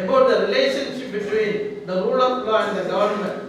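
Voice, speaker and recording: High-pitched for a man, his voice moves at a moderate pace. Strong room echo and light background noise fill the recording. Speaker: introducer at a public lecture. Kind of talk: formal introductory speech. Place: hall.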